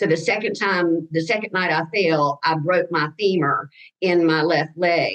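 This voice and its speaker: A woman speaks with a Southern US accent. Her pitch is fairly low and her intonation fairly even. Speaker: cancer survivor. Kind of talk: testimony. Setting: video call. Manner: halting.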